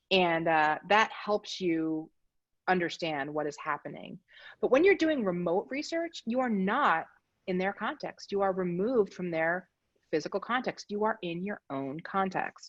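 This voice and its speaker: A woman speaks in an American accent. The sound is dry and close with no echo, over a quiet background. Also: medium pitch for a woman. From Philadelphia, Pennsylvania. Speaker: design practice lead, presenter. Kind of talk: presentation. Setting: video call from home. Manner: fast.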